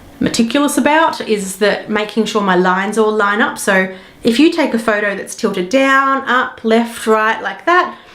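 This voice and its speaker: Against audible room echo, a woman speaks at a moderate pace in a fairly high pitch with lively intonation. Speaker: digital marketing specialist and photography tutor. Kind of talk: tutorial. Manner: casual.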